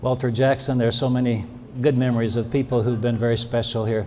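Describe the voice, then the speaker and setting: A medium-pitched male voice in a Portuguese accent, with audible room echo. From Brazil. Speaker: pastoral care professor. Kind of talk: award acceptance speech.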